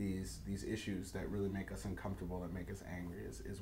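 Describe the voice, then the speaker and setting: A man's very deep, low voice has a dark, mellow tone and vocal fry, with audible room echo. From Detroit, Michigan, US Midwest. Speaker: poet. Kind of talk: interview. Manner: halting, many fillers.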